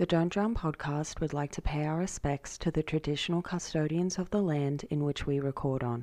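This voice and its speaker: Over a quiet background, a woman with an Australian accent speaks in a dark, mellow tone at a very deep, low pitch and a moderate pace, with ordinary pitch variation and hardly any pauses. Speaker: podcast host. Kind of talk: scripted acknowledgement; casual interview.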